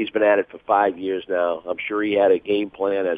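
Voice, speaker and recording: Someone with an American accent talks at a fairly quick pace. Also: man. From Boston area. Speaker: hockey broadcaster and former player. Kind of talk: phone interview.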